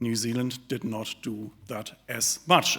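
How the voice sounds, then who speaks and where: On a very clean recording with a silent background, a man with a German accent speaks in a bright, sharp tone. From Germany. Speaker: think tank director, economist. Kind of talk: speech. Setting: live audience at an event.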